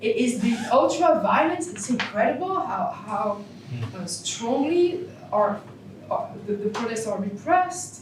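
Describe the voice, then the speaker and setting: A woman with a French accent speaks slowly-ish, at a fairly slow pace, with a fairly high pitch and very wide pitch swings. Noticeable background noise and audible room echo surround her. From France. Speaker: philosophy professor. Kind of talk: Q&A after a keynote lecture. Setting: conference hall with audience. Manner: halting.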